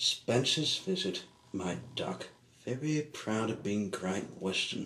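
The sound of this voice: The intonation is lively in this unforced reading voice.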